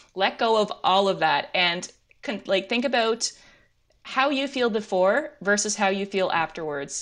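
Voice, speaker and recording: At a fairly slow pace, a woman talks in a plain, everyday voice with lively intonation. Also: medium pitch for a woman. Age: 30s. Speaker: amateur runner. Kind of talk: casual chat.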